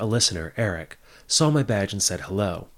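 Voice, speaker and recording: A man with a fairly low pitch talks in an ordinary speaking voice at a moderate pace with lively intonation, recorded very cleanly against a silent background. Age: 30s. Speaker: podcast host. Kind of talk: scripted narration.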